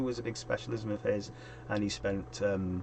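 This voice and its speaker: Over noticeable background noise, a man talks at a fairly low pitch. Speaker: youth work consultant and streamer. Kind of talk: casual solo stream talk. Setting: live stream. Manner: quiet, trying to speak up. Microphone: quiet microphone.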